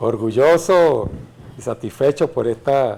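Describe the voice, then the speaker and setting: The man's voice has a medium pitch and a dark, mellow tone. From Venezuela, Caracas. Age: 60s. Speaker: retired general and legislator. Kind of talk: interview.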